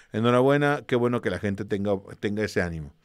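At a very fast pace, a man speaks in a fairly low voice. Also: quiet background. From Mexico. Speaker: history teacher for exam prep; history teacher streamer. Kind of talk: online class with livestream greetings. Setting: live stream. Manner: casual, with many fillers. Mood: warm, encouraging. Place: home room. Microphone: studio mic.

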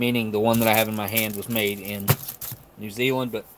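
A man is speaking, and light background noise can be heard behind him. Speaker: ration reviewer. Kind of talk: casual live stream chat.

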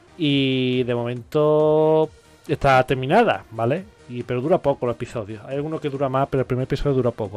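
Clear music plays in the background as a man talks at a fairly quick pace with ordinary pitch variation. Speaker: streamer reacting to anime. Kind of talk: casual reaction commentary. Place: home room. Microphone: studio mic.

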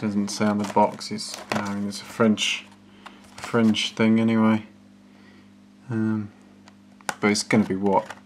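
Long, frequent pauses break up the speech, and there is noticeable background noise. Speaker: gadget reviewer. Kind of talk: casual review commentary. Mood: dismissive, wry. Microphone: phone near.

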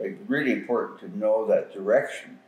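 Speaking at a moderate pace, a man is heard with audible room echo around his voice. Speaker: elder storyteller. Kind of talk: interview answer. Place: home room. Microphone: camera far.

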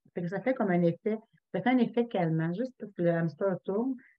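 With a quiet background, a woman talks at a moderate pace. Her pitch is medium and her intonation lively. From Quebec. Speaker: essential oils consultant; presenter. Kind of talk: online workshop presentation. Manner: casual. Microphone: webcam.

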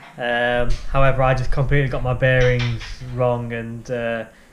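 A man against light background noise. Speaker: guide dog trainee vlogger. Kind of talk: casual vlog chat. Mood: frustrated, reflective. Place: home room. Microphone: phone near.

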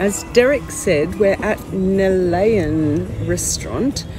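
A woman's voice, dry with no echo, over clear music in the background. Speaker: travel vlogger. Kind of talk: casual vlog chat. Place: cafe. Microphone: phone near.

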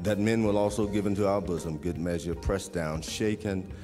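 Faint music sits in the background. Over it, a man speaks. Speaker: minister leading the offering. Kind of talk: church offering appeal and prayer. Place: church. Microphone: podium.

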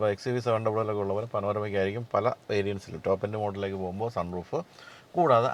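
A man speaks with a plain, everyday voice. The sound is dry with no echo. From Kerala, India. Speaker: automotive journalist and vlogger; automotive journalist, vlogger. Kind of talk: Q&A vlog with news and sponsor segment. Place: car. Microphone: lapel.

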